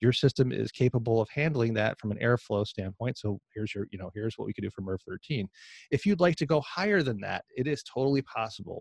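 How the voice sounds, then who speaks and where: In a dry, close sound with no echo and a quiet background, a somewhat breathy man speaks at a very fast pace with medium pitch and lively intonation. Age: 50s. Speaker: HVAC indoor air quality trainer. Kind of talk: interview.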